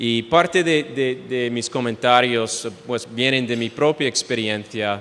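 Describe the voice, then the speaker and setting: A man speaks at medium pitch with an English accent. His pace is fairly slow. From United States. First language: English (speaking Spanish). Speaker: speaker. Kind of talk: lecture. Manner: halting, many fillers.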